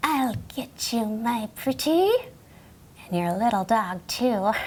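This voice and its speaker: A female-sounding voice puts on a character voice at a fairly high pitch. The pace is fairly slow. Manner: cackling.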